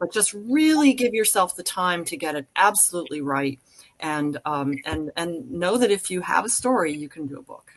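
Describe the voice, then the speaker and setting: A woman speaks at a moderate pace and a fairly low pitch. Her pitch swings very widely, and her loudness rises and falls sharply. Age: 70s. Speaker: magician and author. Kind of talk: panel discussion. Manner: halting.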